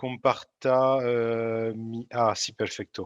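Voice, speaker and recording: Speaking with a French accent, a man keeps a medium pitch in a monotone, flat intonation. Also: quiet background. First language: French (speaking Spanish). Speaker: energy program coordinator. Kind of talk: lecture. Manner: halting, many fillers.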